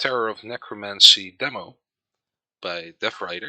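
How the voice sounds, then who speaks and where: A man speaks fairly slowly with a Dutch accent and a bright, sharp tone. The sound is dry and close, with no echo. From Netherlands. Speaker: gaming video creator. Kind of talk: let's play commentary. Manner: halting, many fillers.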